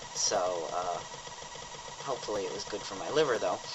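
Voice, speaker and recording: A man speaks at a moderate pace. Noticeable background noise sits under the recording. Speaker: vlogger. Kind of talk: video diary. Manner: halting, many fillers.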